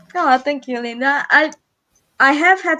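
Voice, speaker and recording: Raising and projecting her voice, a woman speaks at a fairly slow pace in a bright, sharp tone with ordinary pitch variation. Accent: Hungarian. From Hungary. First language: Hungarian. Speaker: live stream co-host. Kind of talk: casual chat. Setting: live stream.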